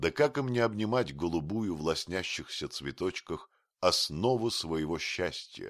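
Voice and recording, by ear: With lively intonation, someone is reading aloud in a natural voice over a quiet background.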